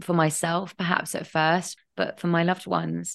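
A woman with a fairly low pitch and an English accent. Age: 30s. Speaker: writer and grief advocate. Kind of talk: interview testimony.

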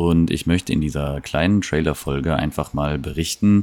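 A man's very deep, low voice has a dark, mellow tone as he talks at a moderate pace. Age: 30s. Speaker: podcast host. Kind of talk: casual monologue. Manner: hesitant, many fillers.

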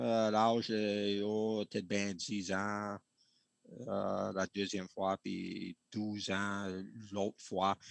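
A man with a fairly low voice talks very slowly in a flat monotone, recorded dry and close with no echo over a quiet background. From New Hampshire, Franco-American community. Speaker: bark canoe builder. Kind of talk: interview. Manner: halting.

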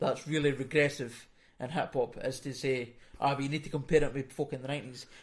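In a Fife accent, a man speaks very fast at fairly high pitch, somewhat breathy and with monotone, flat intonation. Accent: Scottish, Fife. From Scotland, Fife. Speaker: podcast co-host. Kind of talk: casual chat. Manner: mumbling, barely moves mouth.

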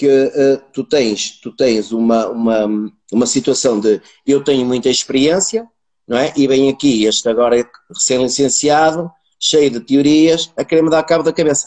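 This man has an unremarkable speaking voice, fairly high pitched for a man, with ordinary pitch variation and a moderate pace. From northern Portugal, Braga area. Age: 40s. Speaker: sales professional. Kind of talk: casual interview chat. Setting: video call livestream.

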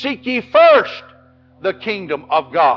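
Animated in tone, a man with a Tennessee accent talks in a high pitch that swings very widely. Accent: Southern US (Tennessee). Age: 60s. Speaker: Baptist pastor. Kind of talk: fiery revival-style Baptist sermon to an evening congregation. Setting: church service with congregation. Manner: impassioned, rhythmic preaching punctuated with Amen and repeated words; emphatic and animated, with stammered restarts and laughs.

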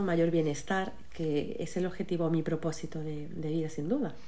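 A woman's fairly low voice comes through audible room echo and noticeable background noise. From Málaga, Andalusia, Spain. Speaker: psychologist and coach, author. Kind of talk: casual interview chat.

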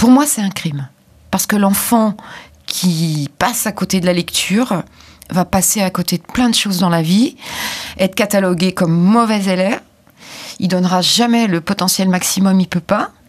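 A woman with a medium pitch and a somewhat breathy voice speaks at a moderate pace with ordinary pitch variation. Her speech has long, frequent pauses. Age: 50s. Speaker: author of children's grammar books. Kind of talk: interview.

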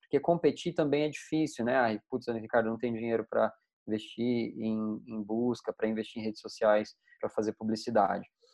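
Moderate pace, medium pitch and ordinary pitch variation from a man with an ordinary speaking voice. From Brazil, interior of Mato Grosso. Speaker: tech company founder and CEO. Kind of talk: casual interview.

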